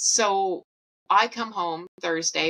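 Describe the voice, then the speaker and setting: A woman with a Canadian accent, dry and close with no echo. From Canada. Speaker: podcast host sharing eating disorder recovery. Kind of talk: personal storytelling. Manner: animated.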